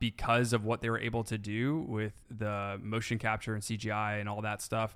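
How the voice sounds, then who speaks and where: In a very clean recording with a silent background, a man with a medium pitch talks at a moderate pace in a plain, everyday voice. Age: 20s. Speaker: film podcast co-host. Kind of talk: casual chat.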